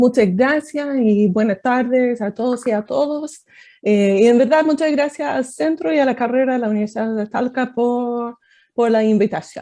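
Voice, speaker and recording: The voice has a dark, mellow tone. It carries an American accent. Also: woman, high pitch for a woman, ordinary pitch variation, moderate pace. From United States. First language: English (speaking Spanish). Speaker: political science professor. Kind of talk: academic talk. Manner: hesitant, many fillers.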